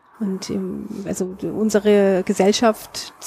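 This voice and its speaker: Noticeable noise runs behind a woman whose pitch sits in the middle of her range. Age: 40s. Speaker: author, journalist and musician. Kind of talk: casual interview. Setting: outdoors on a balcony.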